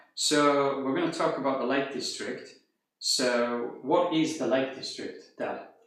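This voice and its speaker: A fairly high-pitched man at a fairly slow pace, with audible room echo. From northern England, Cumbria (Carlisle). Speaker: language teacher. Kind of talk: casual interview. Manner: clear, careful.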